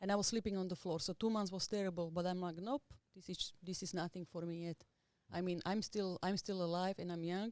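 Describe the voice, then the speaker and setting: A woman talks with a Slovak accent at a fairly quick pace. Her intonation is fairly even. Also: medium pitch for a woman. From Slovakia, small village. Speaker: tattoo artist. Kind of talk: podcast interview.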